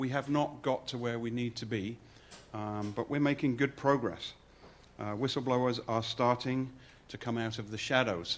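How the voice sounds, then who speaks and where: The speech has an English accent and fairly even intonation. The pace is moderate. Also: man, medium pitch for a man. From England. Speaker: fraud investigator. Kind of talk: presentation.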